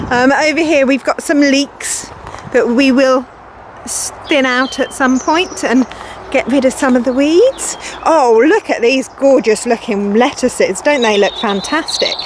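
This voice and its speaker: The woman's pitch is high and her pace fairly slow. Noticeable noise sits in the background. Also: ordinary pitch variation, very even loudness. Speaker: environment centre educator. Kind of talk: guided virtual tour.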